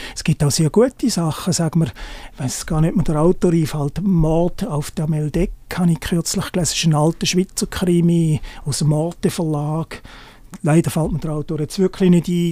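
A man's dark, mellow tone at a high pitch, with ordinary pitch variation and a moderate pace. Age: 50s. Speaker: journalist and hiking blogger. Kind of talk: interview.

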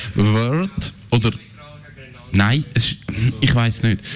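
A man speaks over noticeable background noise. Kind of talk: casual chat.

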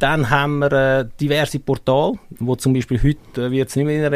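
Speaking at a fairly quick pace, a man with a Swiss accent talks at medium pitch. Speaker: football coach. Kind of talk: casual interview.

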